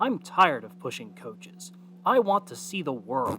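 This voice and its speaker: A put-on character voice at a middle pitch and moderate pace, with clear background noise. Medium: read story.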